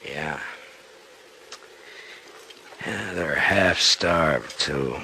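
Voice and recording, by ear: In a put-on character voice, a man speaks very slowly at an extremely low pitch, with vocal fry, a bright, sharp tone and ordinary pitch variation.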